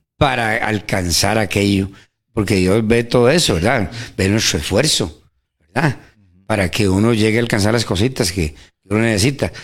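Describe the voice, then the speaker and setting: A man speaks in a plain, everyday voice, fairly low in pitch with ordinary variation, at a moderate pace and very even loudness, in a very clean recording with a silent background. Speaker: church member co-host. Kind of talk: radio Bible teaching chat. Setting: radio studio.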